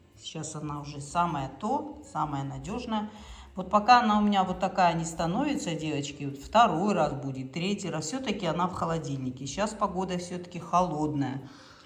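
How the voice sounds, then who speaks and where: Over noticeable background noise and audible room echo, a woman speaks at a moderate pace in a fairly low voice, with big swings in loudness. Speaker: vlogger. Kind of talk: casual cooking vlog.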